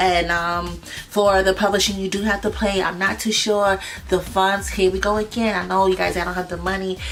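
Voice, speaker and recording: A woman with a medium pitch speaks in a monotone, flat way over noticeable background noise. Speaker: music business teacher. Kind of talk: tutorial. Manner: fast; hesitant, many fillers.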